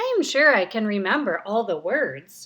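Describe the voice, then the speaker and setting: A woman's put-on character voice, fairly high, with very wide pitch swings. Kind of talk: bedtime story. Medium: read story.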